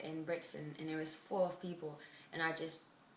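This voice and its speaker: Amid audible room echo, a woman talks fairly quickly in a very deep, low voice with flat, monotone intonation. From Spain. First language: Spanish. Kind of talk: interview answers.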